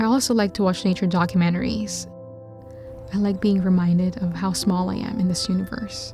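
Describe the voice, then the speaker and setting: Music in the background behind a woman talking at a fairly quick pace. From Metro Manila, Philippines. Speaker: video editor and filmmaker. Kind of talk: reflective personal vlog voiceover. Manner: soft-spoken, introspective.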